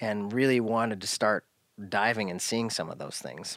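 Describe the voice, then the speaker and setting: Talking at a moderate pace with an American accent, a man uses a normal speaking voice with ordinary pitch variation and a fairly low pitch. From US Pacific Northwest, Oregon coast. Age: 40s. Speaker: firearms parts business owner. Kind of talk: casual interview. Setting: his garage workshop.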